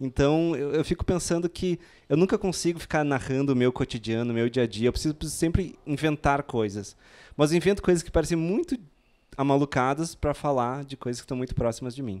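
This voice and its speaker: A man at a fairly quick pace with ordinary pitch variation, in a very clean recording with a silent background. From southern Brazil, Rio Grande do Sul. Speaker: novelist. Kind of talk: panel talk. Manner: halting, many repetitions.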